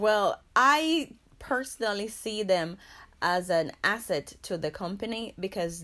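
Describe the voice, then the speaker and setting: The recording is very clean with a silent background, and the intonation is lively. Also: woman. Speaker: massage practice executive. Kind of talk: interview.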